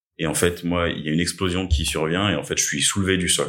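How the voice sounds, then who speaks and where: In a very deep, low pitch, a man is speaking. The background is silent and the recording very clean. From Paris suburbs, Essonne. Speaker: attack survivor. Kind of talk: testimony. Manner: hesitant, many filler sounds.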